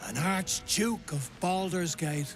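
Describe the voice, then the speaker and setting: A put-on character voice sits at a middle pitch. Music plays clearly in the background. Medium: video game.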